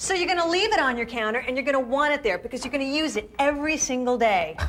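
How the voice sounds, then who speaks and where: Very fast, lively intonation in a cheerful, upbeat tone, with noticeable background noise. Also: woman, high pitch for a woman. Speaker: infomercial host. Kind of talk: TV infomercial pitch.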